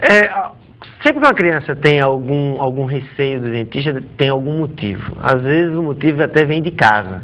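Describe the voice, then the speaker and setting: Noticeable background noise surrounds a man's fairly high voice. He keeps a moderate pace with ordinary pitch variation. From Natal, northeastern Brazil. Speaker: orthodontist. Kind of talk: TV interview.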